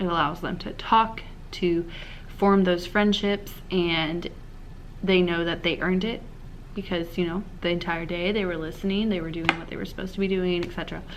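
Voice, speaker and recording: Her pitch is fairly low, and this woman's intonation stays monotone and flat at a moderate pace. Noticeable background noise runs throughout. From overseas, Spain and Brazil. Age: 20s. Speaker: middle school science teacher. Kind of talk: casual talk to camera.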